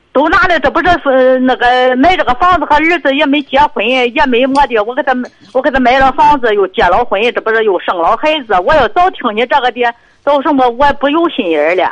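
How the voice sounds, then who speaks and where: A woman talks fairly quickly in a high pitch. Her intonation is lively and her loudness stays very even. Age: 60s. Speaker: caller, grandmother. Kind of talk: phone call-in. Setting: phone call. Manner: halting.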